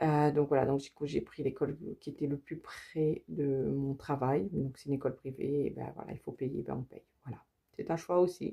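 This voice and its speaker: A woman speaks with a very deep, low pitch and vocal fry. Her intonation is fairly even, but her loudness swings widely. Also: moderate pace. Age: 40s. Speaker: budgeting vlogger. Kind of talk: casual vlog tutorial. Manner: hesitant, many fillers.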